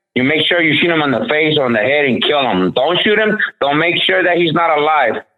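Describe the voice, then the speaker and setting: Lively, fairly high-pitched speech from a man at a fairly quick pace, very even in loudness, with audible room echo. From Honduras. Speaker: boxing gym owner. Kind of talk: casual chat.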